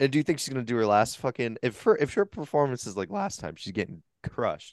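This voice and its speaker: Putting on a raspy character voice, a man talks at a fairly quick pace and medium pitch with very wide pitch swings, the sound dry and close with no echo against a quiet background. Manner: heated, trash-talking.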